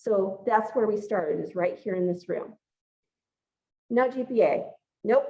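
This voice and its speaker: A woman speaks loudly at a moderate pace. Her intonation is lively. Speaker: pre-health advisor. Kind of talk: group advising meeting. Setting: gym with audience and Zoom.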